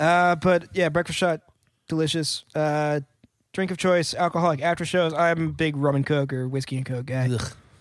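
In a very clean recording with a silent background, a man uses an ordinary speaking voice at a moderate pace with fairly even intonation. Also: fairly high pitch for a man. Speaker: band member and podcast host. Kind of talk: casual banter. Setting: studio. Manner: joking.

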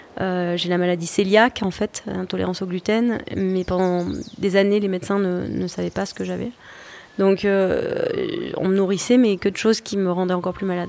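A woman's medium-pitched voice, monotone with flat intonation, at a moderate pace. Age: 40s. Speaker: chef and social entrepreneur. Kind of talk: interview.

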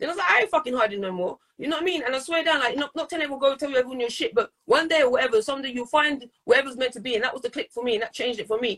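Her voice is high-pitched and lively in intonation as this woman talks very fast, recorded dry and close with no echo. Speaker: poet and artist. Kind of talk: casual interview chat.

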